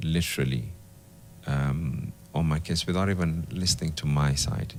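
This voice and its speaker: A soft-spoken man with a very deep, low pitch, ordinary pitch variation and a fairly slow pace. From Kenya, Mombasa. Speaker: politician. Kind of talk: interview. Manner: hesitant.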